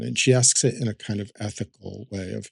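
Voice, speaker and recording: A man speaks at a fairly low pitch with ordinary pitch variation, recorded with a dry, close sound and no echo. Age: 60s. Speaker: artist and art teacher. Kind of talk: podcast interview. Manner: halting, many fillers and restarts.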